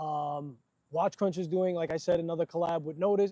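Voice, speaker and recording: Fairly fast in speech, a man talks with a fairly high voice. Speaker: watch enthusiast livestreamer. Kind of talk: live stream chat. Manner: animated.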